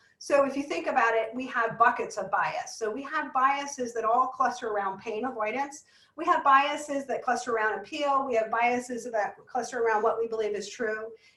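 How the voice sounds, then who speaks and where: Against noticeable background noise, a woman with an American accent speaks fairly quickly, with hardly any pauses, at a high pitch with ordinary pitch variation. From US East Coast. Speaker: business psychologist speaker. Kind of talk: webinar presentation. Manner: fast.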